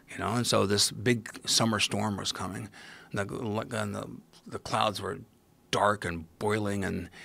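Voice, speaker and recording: A man with a Midwestern US accent at a fairly slow pace. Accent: US Midwest. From Ohio, US Midwest. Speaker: podcast guest, mycology expert. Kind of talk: casual interview storytelling. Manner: animated.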